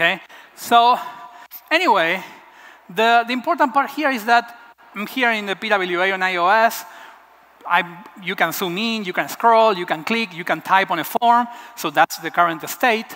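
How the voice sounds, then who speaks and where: With an Argentine accent, a man speaks in a raised, projected voice at a high pitch and fairly slow pace, using lively intonation and long, frequent pauses. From Argentina, Buenos Aires. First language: Spanish. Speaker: web developer. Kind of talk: conference talk.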